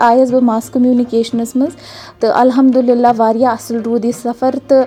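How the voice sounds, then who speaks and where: Over music in the background, a woman speaks at a high pitch. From Kashmir. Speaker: journalist. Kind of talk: casual chat. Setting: remote recording.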